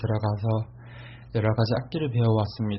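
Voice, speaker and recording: A somewhat breathy man at a moderate pace. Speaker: university student. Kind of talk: self-introduction in class presentation.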